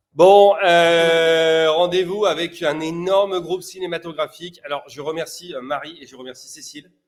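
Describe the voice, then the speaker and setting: With an animated tone and a high pitch, a man talks with hardly any pauses and big swings in loudness. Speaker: sales prospecting coach. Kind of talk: live-streamed cold-call coaching show. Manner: fast.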